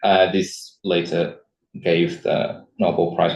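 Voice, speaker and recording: A man speaks with lively intonation. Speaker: astroparticle physicist, seminar speaker. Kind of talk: lecture. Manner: halting, many fillers and repetitions.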